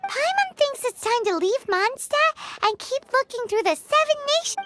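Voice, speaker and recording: A put-on character voice at an extremely high pitch. It sounds squeaky and moves at a moderate pace. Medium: video game. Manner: refers to herself in third person.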